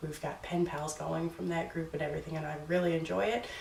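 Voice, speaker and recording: The speaker has a slight Newfoundland accent, with noticeable background noise behind the voice. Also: woman. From Newfoundland, Canada. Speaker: booktuber. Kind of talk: casual vlog talk. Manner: hesitant, with fillers.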